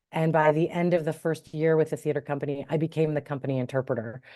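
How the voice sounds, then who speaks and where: A woman's very deep, low voice, dark and mellow, with a Midwestern American accent against a quiet background. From US Midwest, Cleveland, Ohio. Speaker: interfaith minister and sign language interpreter. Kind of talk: interview.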